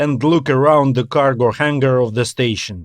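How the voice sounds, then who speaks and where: A man speaks at a fairly high pitch with a strong non-native accent against a quiet background. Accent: thick non-native. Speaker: author and audiobook narrator. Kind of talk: audiobook fiction narration.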